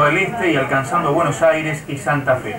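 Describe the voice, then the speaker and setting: A man with a fairly high voice and fairly level intonation talks while clear background noise goes on. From Argentina. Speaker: radio news announcer. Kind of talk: radio news bulletin.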